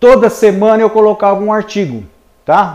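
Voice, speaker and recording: A man talks at a moderate pace with a high pitch. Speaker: civil engineer and marketing trainer. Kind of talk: webinar lecture. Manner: conversational, filler-heavy.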